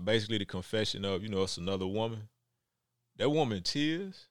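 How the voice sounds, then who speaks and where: A man with an American accent and a fairly low pitch, ordinary pitch variation, an unremarkable speaking voice, on a very clean recording with a silent background. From Texas, Houston. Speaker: actor. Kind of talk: casual interview chat.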